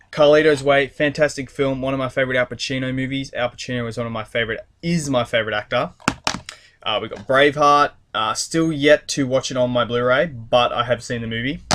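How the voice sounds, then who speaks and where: Fairly quick, fairly evenly intoned speech from a man at medium pitch. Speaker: YouTuber doing a haul video. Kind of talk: casual vlog monologue. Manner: fast; hesitant, many fillers.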